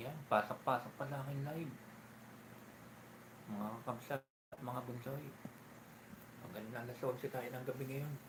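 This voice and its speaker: A soft-spoken man with a medium pitch talks at a fairly slow pace, somewhat breathy. His intonation stays fairly even, broken by long, frequent pauses. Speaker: live-stream vlogger. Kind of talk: casual live-stream chat. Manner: soft-spoken, lowered voice.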